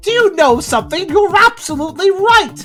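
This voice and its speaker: This put-on character voice is squeaky and extremely high in pitch, moving at a fairly quick pace. Faint music plays in the background. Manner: squealing.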